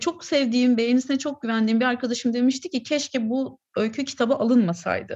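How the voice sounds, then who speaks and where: A woman talks in a high pitch at a fairly quick pace. She takes hardly any pauses, and her pitch variation is ordinary. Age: 30s. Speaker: short story writer. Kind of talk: casual interview chat.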